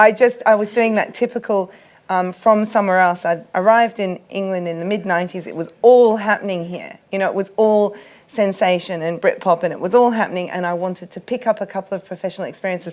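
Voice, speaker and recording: Delivered at a very fast pace with fairly even intonation, the voice carries an Australian accent. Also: woman, medium pitch for a woman. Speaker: art curator. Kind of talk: panel discussion. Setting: festival tent with audience.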